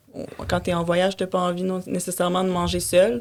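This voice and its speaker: With a Quebec accent, a woman talks at a medium pitch. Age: 20s. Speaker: podcast guest. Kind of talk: casual interview chat. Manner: halting, many fillers.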